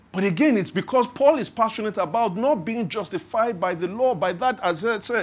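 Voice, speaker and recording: On a very clean recording with a silent background, a man speaks at a high pitch and a fairly quick pace. He barely pauses, and his pitch varies in an ordinary way. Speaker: pastor. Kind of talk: sermon. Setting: church.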